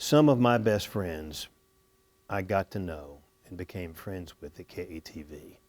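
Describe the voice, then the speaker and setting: In a very clean recording with a silent background, a man with a very deep, low pitch speaks at a fairly slow pace with lively intonation. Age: 60s. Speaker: former TV station employee. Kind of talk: interview reminiscence.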